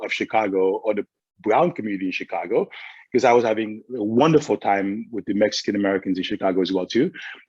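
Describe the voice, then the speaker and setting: Fairly quick male speech in a dark, mellow tone, with ordinary pitch variation and a quiet background. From Haiti and Brooklyn. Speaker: former school superintendent. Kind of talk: panel discussion. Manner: halting, many repeated words.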